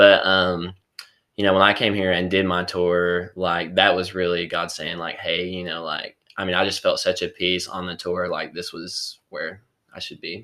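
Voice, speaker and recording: With a Southern accent, a man speaks at a very deep, low pitch in a bright, sharp tone, his intonation monotone and flat. His pace is moderate, his loudness swings widely, and the recording is very clean with a silent background. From East Tennessee, Kingsport. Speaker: college student. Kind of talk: testimony. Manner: halting.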